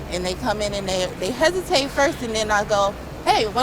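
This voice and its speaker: Over noticeable background noise and audible room echo, a woman with an American accent speaks at a fairly quick pace and fairly high pitch with lively intonation. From Ohio. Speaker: restaurant manager. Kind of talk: casual interview. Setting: restaurant.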